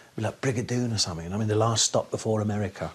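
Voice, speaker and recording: Talking at a very fast pace, a man with an English accent uses a fairly low pitch. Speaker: interviewee. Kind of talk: casual chat.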